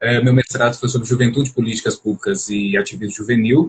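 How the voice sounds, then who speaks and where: At a fairly quick pace, a somewhat breathy man with a medium-pitched voice speaks with ordinary pitch variation in a dry, close recording with no echo. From Brazil, Belo Horizonte, Minas Gerais. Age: 30s. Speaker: psychology doctoral student and journalist. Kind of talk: live-stream interview. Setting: online live stream.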